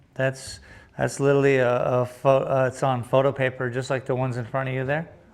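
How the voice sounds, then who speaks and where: Noticeable background noise sits behind a man speaking at a very fast pace. His medium-pitched voice has monotone, flat intonation. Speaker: painter streaming live. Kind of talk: live art stream chat. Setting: art studio.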